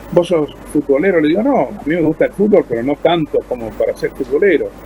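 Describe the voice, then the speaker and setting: This man, fairly high in pitch, keeps a moderate pace while noticeable background noise runs underneath. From Argentina. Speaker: voice actor. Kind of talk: interview answer.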